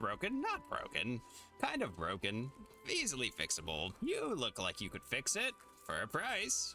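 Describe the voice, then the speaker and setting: Over clear music in the background, a man performs a put-on character voice. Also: moderate pace. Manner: wheedling, haggling.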